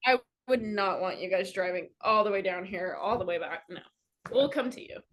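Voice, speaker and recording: At a moderate pace, a woman of medium pitch shows ordinary pitch variation and big swings in loudness. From California. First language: Armenian. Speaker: dancer. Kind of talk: casual chat.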